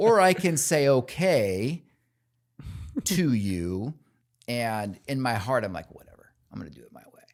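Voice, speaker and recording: Speaking at a fairly slow pace with long, frequent pauses, a man at medium pitch sounds animated, with very wide pitch swings and big swings in loudness. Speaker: construction company CEO. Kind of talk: casual interview chat.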